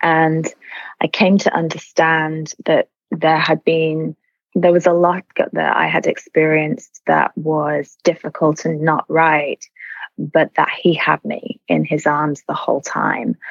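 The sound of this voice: At a slow pace, a woman speaks in a low pitch with vocal fry and monotone, flat intonation. The sound is dry and close with no echo.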